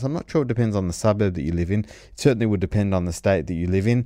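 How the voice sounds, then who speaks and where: A dark, mellow tone against a quiet background. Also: man. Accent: Australian. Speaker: commentator. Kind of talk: opinionated rant about banking rules, delivered as a commentary segment. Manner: earnest, argumentative, talking steadily with frequent hedges and self-corrections; disapproving, making a case against regulation with mounting insistence.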